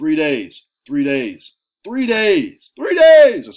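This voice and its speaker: In a put-on character voice, a man talks very slowly at a high pitch with very wide pitch swings. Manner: repetitive pitchman.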